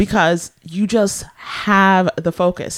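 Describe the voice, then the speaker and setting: A woman with an American accent speaks in a normal speaking voice at a medium pitch, her intonation fairly even, on a very clean recording with a silent background. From US West Coast (San Francisco Bay Area). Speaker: radio show co-host. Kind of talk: casual chat.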